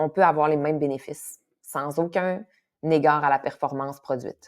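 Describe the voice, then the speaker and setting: The speaker talks at a fairly slow pace. The recording is very clean, with a silent background. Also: woman. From Quebec, Saguenay. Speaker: kinesiologist and yoga teacher. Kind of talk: casual podcast interview. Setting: podcast recording. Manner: animated, with frequent fillers and repetitions.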